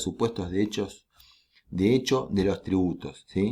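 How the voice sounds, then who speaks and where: In a very clean recording with a silent background, a man with a dark, mellow tone speaks at a moderate pace with ordinary pitch variation. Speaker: law lecturer. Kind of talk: lecture.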